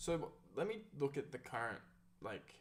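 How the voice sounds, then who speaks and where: A man speaks with an Australian accent at a fairly high pitch. His intonation is lively. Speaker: content creator. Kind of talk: casual chat. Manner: halting.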